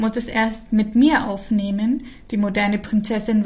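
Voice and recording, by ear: This is someone reading aloud. The voice sounds natural.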